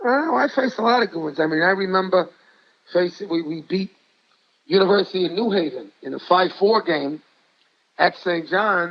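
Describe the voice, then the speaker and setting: At a moderate pace, a man with a high pitch speaks with ordinary pitch variation and long, frequent pauses. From New York City. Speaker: high school basketball coach. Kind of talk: interview storytelling. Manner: animated.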